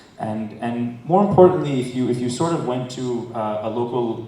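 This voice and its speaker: A man with an American accent speaks at a medium pitch. Room echo and noticeable background noise are both audible. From United States. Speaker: entrepreneur, startup founder. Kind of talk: conference talk. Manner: fast; halting, many fillers and repetitions.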